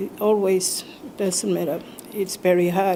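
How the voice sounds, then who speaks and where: The speech comes at a fairly slow pace in a monotone, flat intonation over noticeable background noise. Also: woman. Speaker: Anglican priest. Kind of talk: interview testimony. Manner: hesitant, with fillers.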